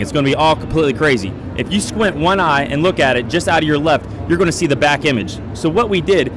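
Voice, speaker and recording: A man at a very fast pace, in a dry sound with no echo and noticeable background noise. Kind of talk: product demo explanation. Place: hall. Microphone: handheld.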